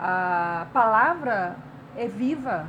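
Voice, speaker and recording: The woman's medium-pitched voice has lively intonation. Audible room echo surrounds her speech. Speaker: writer and artist. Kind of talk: interview.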